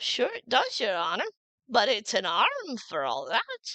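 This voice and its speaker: A woman in a put-on character voice, fairly high in pitch and at a fairly slow pace. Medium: read story. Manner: deferential, addressing master as "your honor".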